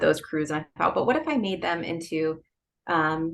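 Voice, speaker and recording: A woman with a Philadelphia accent talks at a moderate pace with a fairly low pitch. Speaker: novelist. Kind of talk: interview.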